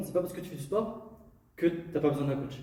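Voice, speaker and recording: There is audible room echo and noticeable background noise around this man's voice. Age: 20s. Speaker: sports coach. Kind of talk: podcast interview.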